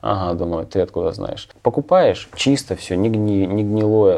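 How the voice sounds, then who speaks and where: At a fairly slow pace, a man talks with a fairly low pitch and a dark, mellow tone. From Ukraine. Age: 40s. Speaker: truck driver and emigrant. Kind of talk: interview.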